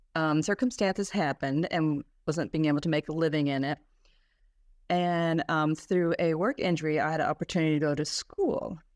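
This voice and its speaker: A woman with a very deep, low pitch at a moderate pace, ordinary pitch variation, very even loudness and long, frequent pauses, in a very clean, dry, close recording with no echo and a silent background. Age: 60s. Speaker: makeup artist and podcaster. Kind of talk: interview testimony. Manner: hesitant, many fillers.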